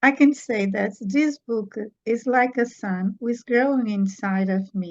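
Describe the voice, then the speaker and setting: Speaking very slowly with a Portuguese accent, a woman uses a fairly high, somewhat breathy voice with ordinary pitch variation. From Portugal. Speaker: children's book author. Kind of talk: interview. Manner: halting.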